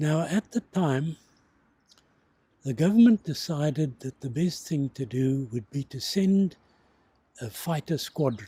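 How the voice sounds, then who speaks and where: A man with a fairly high pitch and a dark, mellow, somewhat breathy tone talks at a fairly slow pace with lively intonation. His speech has long, frequent pauses. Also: dry, close sound with no echo. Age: 80s+. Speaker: war veteran. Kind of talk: interview testimony.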